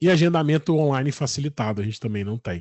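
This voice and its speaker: A man's fairly high, somewhat breathy voice at a fairly quick pace. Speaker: quality auditor and webinar speaker. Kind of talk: webinar presentation. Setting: online webinar. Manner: halting.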